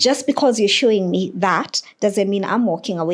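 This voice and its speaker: The speaker has an African accent. Pitch varies in an ordinary way. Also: woman. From Kenya. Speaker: teacher. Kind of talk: podcast interview.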